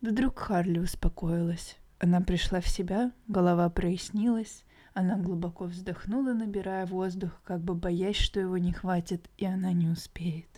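Speaking at a fairly slow pace, a woman with a medium pitch and a dark, mellow tone keeps her intonation fairly even on a very clean recording with a silent background. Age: 20s. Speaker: podcast co-host. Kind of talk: casual chat; reading aloud.

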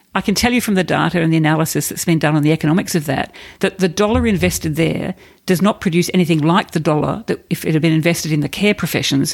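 Speaking at a very fast pace, a woman with an Australian accent uses a very deep, low pitch and ordinary pitch variation. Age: 50s. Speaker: corporate and non-profit leader. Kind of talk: interview.

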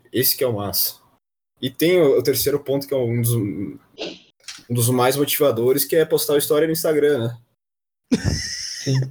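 At a moderate pace, a man with a fairly high pitch talks in a somewhat breathy voice with ordinary pitch variation. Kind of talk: casual chat. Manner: animated.

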